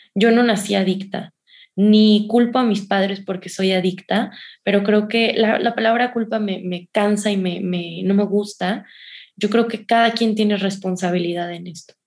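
A woman at medium pitch with a Mexican accent, in a monotone, flat intonation and at a fairly slow pace. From Mexico, San Luis Potosí. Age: 20s. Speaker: public speaker and addiction therapist. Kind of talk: interview testimony.

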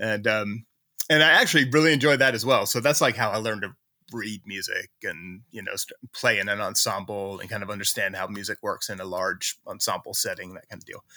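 An American accent marks this man's fairly quick speech, which has big swings in loudness. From Virginia, US (Richmond area). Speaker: composer. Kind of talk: interview conversation.

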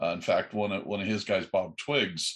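Over a quiet background, a man talks at a moderate pace with an American accent. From USA. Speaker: aerospace entrepreneur. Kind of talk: interview.

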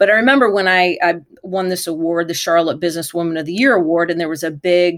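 This is a plain, everyday voice at a fairly quick pace. Pitch variation is ordinary. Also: woman. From Michigan, US. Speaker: sports lawyer. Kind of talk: interview.

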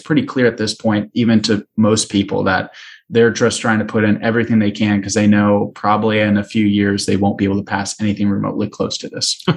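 A man with a Californian accent talks at a very fast pace with hardly any pauses. His pitch is fairly low. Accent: General American (Californian). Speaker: policy advocacy trainer. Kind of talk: interview.

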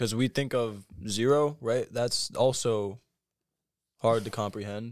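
This is an ordinary speaking voice with an American accent. It moves at a fairly slow pace with fairly even intonation. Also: man, medium pitch for a man. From upstate New York. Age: young. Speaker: podcast guest. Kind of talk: casual chat.

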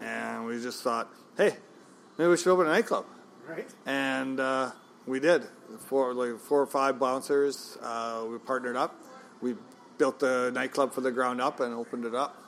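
This speaker has a Canadian prairie accent and fairly even intonation. Long pauses come often. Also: man, medium pitch for a man, moderate pace. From Saskatchewan, Canada (Regina). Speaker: restaurant owner. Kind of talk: interview. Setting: in a pub.

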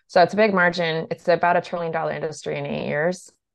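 At a fairly quick pace, a woman speaks with fairly low pitch, fairly even intonation and vocal fry. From US, central Idaho. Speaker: climate company founder and CEO. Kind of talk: interview.

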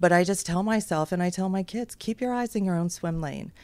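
In a normal speaking voice with an American accent, the speaker moves at a fairly quick pace with ordinary pitch variation on a very clean recording with a silent background. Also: woman. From Texas, Houston. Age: 50s. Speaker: parent coach and educational consultant. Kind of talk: interview.

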